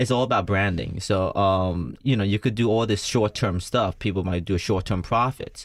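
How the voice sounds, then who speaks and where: In a slight Vietnamese accent, a man with a fairly low pitch talks at a moderate pace with ordinary pitch variation, very even loudness and hardly any pauses, on a very clean recording with a silent background. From United States. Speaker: entrepreneur and former musician. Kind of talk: radio interview. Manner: halting.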